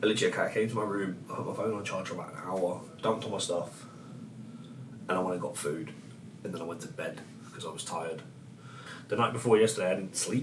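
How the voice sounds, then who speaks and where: Over noticeable background noise and an audible room echo, a man with an English accent talks very fast, his loudness swinging widely. Long, frequent pauses break up his speech. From England. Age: 20s. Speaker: travel vlogger. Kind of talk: casual vlog. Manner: casual, halting.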